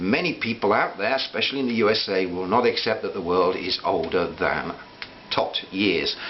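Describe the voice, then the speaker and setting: A man's pitch varies in an ordinary way while noticeable background noise continues behind him. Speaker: vlogger. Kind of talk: personal reflective monologue. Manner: hesitant with fillers; fast.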